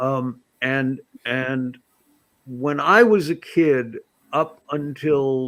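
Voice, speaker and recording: A man speaks at a very slow pace and medium pitch, with ordinary pitch variation. Long, frequent pauses break up his speech. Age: 70s. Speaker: political commentator. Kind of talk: panel discussion. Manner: halting.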